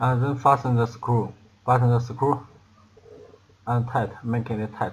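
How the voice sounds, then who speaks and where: Speaking at a fairly slow pace with a non-native accent, a man has a somewhat breathy, medium-pitched voice and monotone, flat intonation. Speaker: product assembly demonstrator. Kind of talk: tutorial. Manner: halting, many fillers and repetitions.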